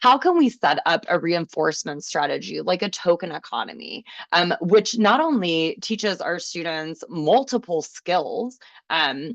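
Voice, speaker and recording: A woman with an ordinary speaking voice and a fairly low pitch talks at a fairly slow pace with lively intonation, recorded dry and close with no echo against a quiet background. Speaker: special education teacher / trainer. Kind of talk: webinar presentation.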